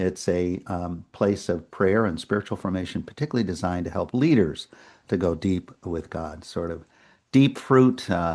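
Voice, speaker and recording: A man with a New England accent speaks at a moderate pace in a very deep, low voice. His pitch varies in an ordinary way against a quiet background. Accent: New England American. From New England, US (Worcester, Massachusetts). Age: 70s. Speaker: retired priest. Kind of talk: interview conversation.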